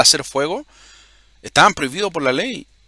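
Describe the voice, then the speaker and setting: Recorded with a dry, close sound with no echo and a silent background in a very clean recording, a man speaks with very wide pitch swings. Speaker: religious video host. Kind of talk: bible teaching monologue. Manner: halting, repeats words.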